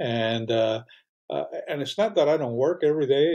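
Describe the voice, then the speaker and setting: A man speaks with a dark, mellow tone. His pace is moderate. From Cuba. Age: 60s. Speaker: wine and cigar shop owner, retired professor. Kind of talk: interview. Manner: hesitant, many fillers.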